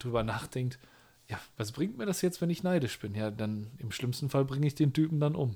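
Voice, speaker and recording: A man's voice, very cleanly recorded, with a silent background. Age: 30s. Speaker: podcast co-host, youth leader. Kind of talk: casual chat.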